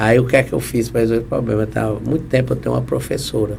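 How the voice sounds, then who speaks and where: Audible room echo follows a man as he speaks. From Ceará, Brazil (Guaramiranga). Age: 70s. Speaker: civil engineer and inventor. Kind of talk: interview. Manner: halting, with frequent repetitions.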